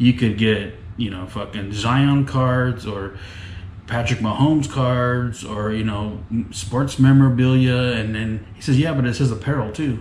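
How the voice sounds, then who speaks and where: A man speaks at a moderate pace. Light background noise and audible room echo surround him. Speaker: vlogger. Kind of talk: casual vlog chat. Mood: amused, exasperated storytelling. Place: home room. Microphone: phone near.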